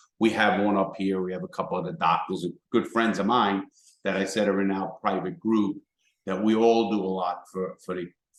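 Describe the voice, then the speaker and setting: With a strong New York accent, a man speaks at a fairly quick pace and a fairly low pitch. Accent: thick New York. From New York City, the Bronx. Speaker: former criminal turned motivational speaker. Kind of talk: casual interview. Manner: repetitive, stammering starts.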